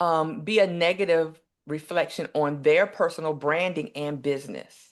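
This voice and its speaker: A woman's normal speaking voice, fairly low in pitch, with an American accent at a moderate pace. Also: ordinary pitch variation, quiet background. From US South, eastern North Carolina. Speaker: nurse and empowerment coach. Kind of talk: interview.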